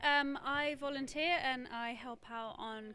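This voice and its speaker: A woman speaks with an English accent. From London, England. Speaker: volunteer camera operator. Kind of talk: casual interview.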